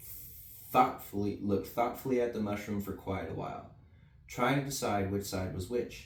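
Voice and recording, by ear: The words are read aloud in a natural voice.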